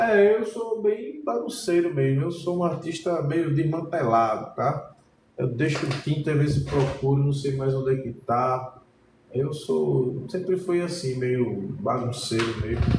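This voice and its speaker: Speaking fairly slowly with a Pernambuco accent, a man uses a fairly high pitch and lively intonation amid noticeable background noise and audible room echo. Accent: Pernambuco Brazilian Portuguese. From Pernambuco, northeast Brazil. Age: 40s. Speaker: painting teacher. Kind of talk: live-streamed painting lesson. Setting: art studio, live stream. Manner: casual, conversational.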